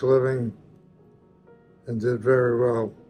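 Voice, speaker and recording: Music sits in the background as a man speaks at medium pitch. His pace is fairly slow and his intonation monotone and flat. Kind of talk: family history interview answer.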